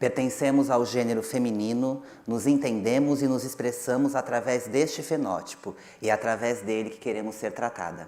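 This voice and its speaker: A woman with a Brazilian accent talks very fast in a very deep, low pitch. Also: fairly even intonation. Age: 30s. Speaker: actress. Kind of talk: panel presentation.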